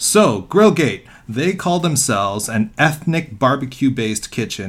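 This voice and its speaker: An ordinary speaking voice at a fairly slow pace, with lively intonation. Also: man. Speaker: podcast co-host. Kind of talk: casual chat.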